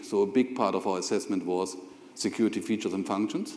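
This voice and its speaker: A man with a German accent at a very fast pace, amid audible room echo and noticeable background noise. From Germany. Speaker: corporate IT executive. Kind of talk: on-stage interview; conference presentation.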